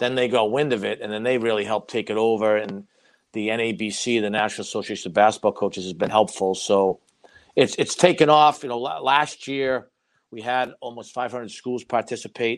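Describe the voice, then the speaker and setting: Against a quiet background, a man with a Boston accent speaks at a moderate pace and medium pitch, with ordinary pitch variation. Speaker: college basketball head coach. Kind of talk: casual interview.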